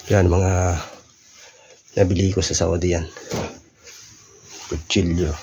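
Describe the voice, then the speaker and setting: The speaker talks fairly slowly in a flat monotone with long, frequent pauses, over noticeable background noise and audible room echo. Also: man, very deep, low pitch for a man. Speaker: vlogger, former overseas worker. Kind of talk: casual vlog. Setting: old family house. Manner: casual, halting.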